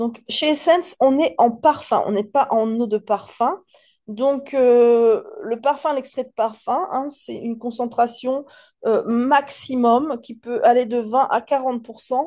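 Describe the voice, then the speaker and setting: Over a quiet background, a dark, mellow voice moves at a very slow pace, its loudness swinging widely. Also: woman, high pitch for a woman, ordinary pitch variation. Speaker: perfume seller. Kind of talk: product presentation. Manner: hesitant, many fillers; casual.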